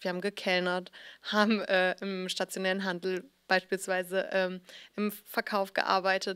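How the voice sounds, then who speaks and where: The background is quiet. A woman speaks with monotone, flat intonation. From Hamburg, northern Germany; Germany. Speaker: fashion blogger and founder. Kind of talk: interview; interview answer. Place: studio. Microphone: handheld.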